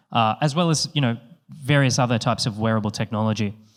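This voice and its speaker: Someone with an Australian accent talks with ordinary pitch variation on a very clean recording with a silent background. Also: man. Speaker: company co-founder, panel moderator. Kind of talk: conference panel introduction. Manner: hesitant, many fillers.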